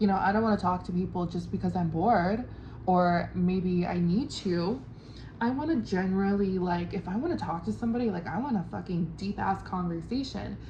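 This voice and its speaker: A woman's dark, mellow voice with vocal fry, a strong Californian accent, ordinary pitch variation and a fairly quick pace, in a room with audible echo. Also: medium pitch for a woman. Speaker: travel vlogger. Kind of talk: casual vlog monologue. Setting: at a homestay in Ubud. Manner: enunciates carefully.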